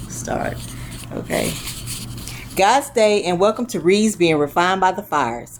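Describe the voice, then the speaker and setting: A woman of medium pitch, with lively intonation, a fairly slow pace and long, frequent pauses, over noticeable background noise. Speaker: interviewer, faith podcast host. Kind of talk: podcast intro.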